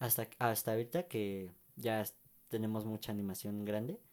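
A man with a Mexican accent speaks at a moderate pace in a dark, mellow tone on a very clean recording with a silent background. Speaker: podcast co-host. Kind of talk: casual chat. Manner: halting.

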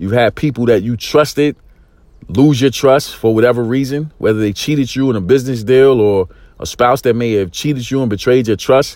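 A man of medium pitch, fairly quick, in an intense, excited tone. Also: ordinary pitch variation. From East New York, Brooklyn, US. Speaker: motivational podcaster and life coach. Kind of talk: motivational monologue. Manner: intense, excited delivery; frequent fillers and repetitions.

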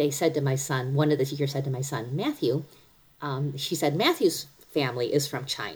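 The intonation stays fairly even. The voice sounds somewhat breathy. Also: woman. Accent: American. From US Midwest, Cleveland. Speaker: workplace leader. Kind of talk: casual interview.

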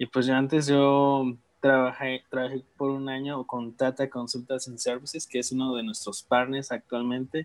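A man speaks in a normal speaking voice, at medium pitch and a moderate pace. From Mexico, Guerrero (Tixtla). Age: 20s. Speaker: former volunteer abroad. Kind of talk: casual interview.

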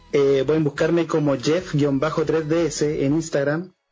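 A man with a Chilean accent, a fairly high pitch and monotone, flat intonation, against noticeable background noise. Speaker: podcast co-host. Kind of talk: casual chat.

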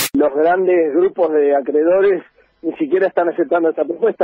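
A man talks at a moderate pace. His pitch is high. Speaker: economist. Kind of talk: radio interview.

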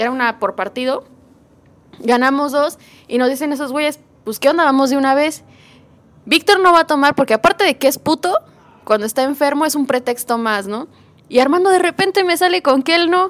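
Speaking at a fairly quick pace with a Mexican accent, this voice has lively intonation and long, frequent pauses, in a dry, close sound with no echo. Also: woman, high pitch for a woman. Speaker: podcast co-host. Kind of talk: casual chat.

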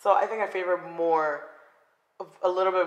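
A woman with a South Florida accent speaks with monotone, flat intonation. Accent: South Florida American. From South Florida (Broward County). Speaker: podcast co-host. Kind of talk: casual chat.

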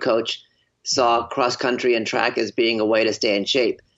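A man's medium-pitched voice at a moderate pace. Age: 40s. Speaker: documentary filmmaker and runner. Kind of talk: interview conversation. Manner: halting, repeats words.

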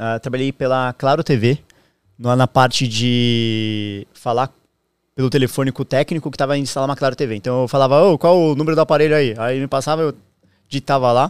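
Recorded very cleanly against a silent background with a dry, close sound and no echo, a man in an ordinary speaking voice talks at a fairly quick pace with fairly even intonation. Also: medium pitch for a man. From southern Brazil, Santa Catarina. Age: 30s. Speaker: streamer. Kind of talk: casual chat.

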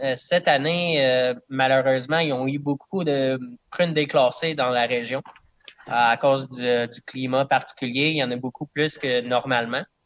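A man speaks in a normal speaking voice at a medium pitch. His pace is fairly slow, and his intonation stays fairly even. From southern Quebec (Eastern Townships, Bedford area). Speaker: distiller. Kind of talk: casual interview.

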